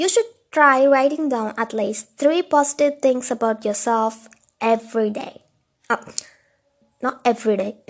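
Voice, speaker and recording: At a moderate pace with long, frequent pauses, the speaker talks with a non-native accent and ordinary pitch variation. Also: woman, high pitch for a woman. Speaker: mental health video host. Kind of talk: casual talk to camera.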